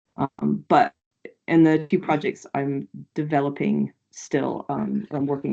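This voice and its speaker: Against a quiet background, the voice carries an American accent. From United States. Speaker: qualitative researcher. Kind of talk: academic seminar Q&A. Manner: halting, many fillers.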